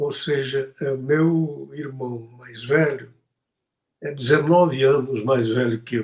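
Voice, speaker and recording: A man speaks at a very slow pace and medium pitch, somewhat breathy. His intonation is fairly even, though his loudness swings widely. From Brazil, Tocantins (Porto Nacional). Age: 70s. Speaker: poet and activist. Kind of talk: interview.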